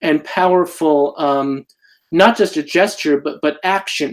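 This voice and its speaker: Using a plain, everyday voice, a man speaks fairly slowly with a fairly high pitch and fairly even intonation. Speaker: community activist, interviewer. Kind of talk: interview questions.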